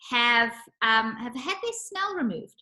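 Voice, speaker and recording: The woman's voice sits at a high pitch. Her tone is bright and sharp. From South Africa. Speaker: nutritionist. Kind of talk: casual chat.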